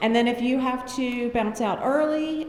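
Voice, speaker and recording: Over noticeable background noise and audible room echo, a woman speaks with a North Carolina accent. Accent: Southern US, North Carolina. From North Carolina, US. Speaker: mental health speaker. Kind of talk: conference talk. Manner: energetic, animated.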